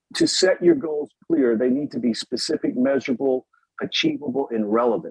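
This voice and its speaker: Here a man speaks in a normal speaking voice. His pitch is fairly high, with ordinary pitch variation. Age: 50s. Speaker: Torah teacher. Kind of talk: lecture. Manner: casual, with fillers.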